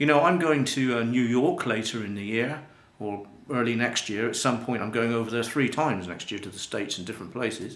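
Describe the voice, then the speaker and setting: A British-accented man talks at a fairly quick pace with a medium pitch and ordinary pitch variation. His loudness swings widely, and the room echo is audible. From UK. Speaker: life coach and internet marketer. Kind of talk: promotional talk to camera. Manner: casual, hesitant with fillers.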